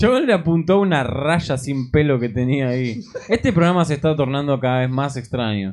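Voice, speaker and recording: A man's unremarkable speaking voice, fairly high in pitch, with lively intonation and a moderate pace. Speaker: podcast co-host. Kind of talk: casual chat.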